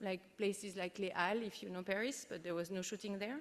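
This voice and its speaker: Here a woman is speaking. She talks with a French accent. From France. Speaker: keynote speaker, international organisation unit head. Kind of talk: conference keynote speech.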